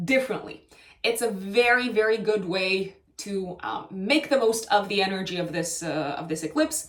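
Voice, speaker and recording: Over noticeable background noise, a woman with a Romanian accent talks at medium pitch with lively intonation. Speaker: astrologer. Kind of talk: astrology forecast monologue. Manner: hesitant, many fillers and self-corrections.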